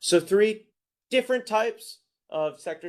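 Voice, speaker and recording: Pitch varies in an ordinary way as this man talks in an American accent. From United States. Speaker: investment product strategist. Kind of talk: webinar presentation. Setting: online webinar.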